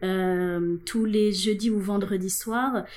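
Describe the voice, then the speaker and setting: A dark, mellow tone carries ordinary pitch variation throughout. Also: woman. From Senegal. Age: 30s. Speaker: LGBT activist. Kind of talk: interview.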